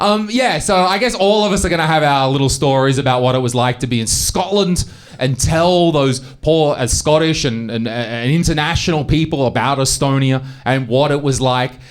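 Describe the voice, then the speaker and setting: A man with a fairly high pitch and an Australian accent, at a moderate pace, his loudness very even. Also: ordinary pitch variation. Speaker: stand-up comedian. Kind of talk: stand-up.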